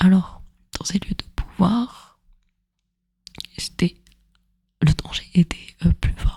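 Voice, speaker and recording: Whispering in a gentle tone, the speaker goes at a very slow pace with long, frequent pauses. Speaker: ASMR storyteller / content creator. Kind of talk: soft spoken ASMR educational narration. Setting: close microphone, headphones listening. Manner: soft-spoken, gentle, relaxing.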